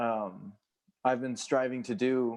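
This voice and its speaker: The man's voice is medium in pitch. He talks with an American accent. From San Antonio, Texas. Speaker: mycology educator. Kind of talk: casual conversation, interview answer. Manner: enthusiastic.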